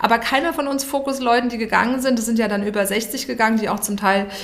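A woman talks at a very fast pace with fairly even intonation. Audible room echo and noticeable background noise surround her voice. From Hesse, Germany. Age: 50s. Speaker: communications and branding entrepreneur. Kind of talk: podcast interview. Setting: podcast studio.

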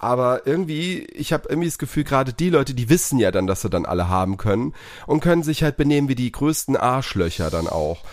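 With music in the background, a man talks at a very fast pace and medium pitch, his pitch swinging very widely. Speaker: podcast co-host. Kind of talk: casual chat.

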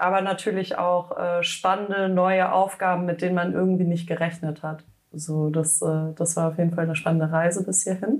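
In an ordinary speaking voice, a woman talks at a moderate pace. Her pitch is fairly low and her intonation fairly even. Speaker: fashion startup founder. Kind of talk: podcast interview. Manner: casual with frequent fillers.

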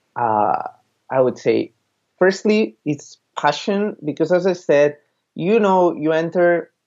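Speaking at a very slow pace with long, frequent pauses, a man talks in a high pitch for a man. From Spain, Barcelona. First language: Spanish or Catalan. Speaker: PR and communications professional. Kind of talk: interview. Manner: halting.

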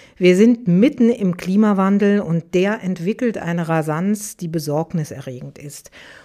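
A woman with a dark, mellow tone speaks at a medium pitch and a fairly slow pace, with hardly any pauses. Her pitch varies in an ordinary way, while her loudness swings widely. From Aachen, Germany. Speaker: business journalist and podcast host. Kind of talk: interview conversation. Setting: studio.

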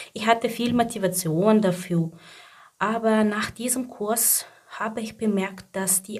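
A woman with a non-native accent talks at a very slow pace in a somewhat breathy voice. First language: not German (speaking German). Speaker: mother and job seeker. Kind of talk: personal testimony. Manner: halting.

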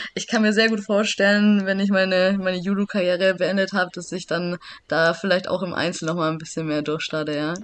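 Using a normal speaking voice, a woman talks at medium pitch with fairly even intonation. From Swabia, Germany (Backnang). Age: 30s. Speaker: judoka, Olympic athlete. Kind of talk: casual interview.

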